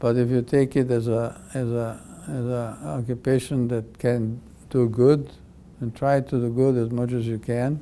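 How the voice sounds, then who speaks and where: A man's dark, mellow voice at a medium pitch, fairly slow, with fairly even intonation. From Europe. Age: 80s+. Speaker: pediatric cardiac surgeon. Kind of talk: interview. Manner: halting.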